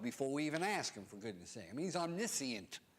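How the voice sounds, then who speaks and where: In an animated tone, a man with a fairly high pitch and vocal fry makes very wide pitch swings. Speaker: preacher. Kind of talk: sermon.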